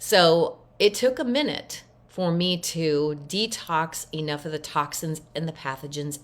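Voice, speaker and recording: A woman's ordinary speaking voice, fairly low in pitch and fairly slow, on a very clean recording with a silent background. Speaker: voice disorder recovery coach. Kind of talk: casual talk to camera.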